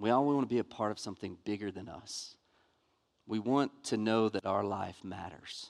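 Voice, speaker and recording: Over a silent background in a very clean recording, a man with a Southern US accent speaks at a moderate pace and fairly low pitch with ordinary pitch variation. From US South, Montgomery, Alabama. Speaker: pastor. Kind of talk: sermon. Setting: church.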